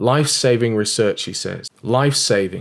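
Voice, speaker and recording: A fairly quick man with an English accent at a medium pitch. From England. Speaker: evangelist. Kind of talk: video commentary. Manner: animated.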